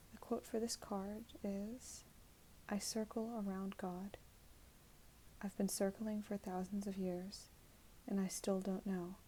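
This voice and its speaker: A soft-spoken woman whispers very slowly, her voice somewhat breathy. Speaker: ASMR creator. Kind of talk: casual ASMR talk to camera. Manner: soft-spoken, whispered.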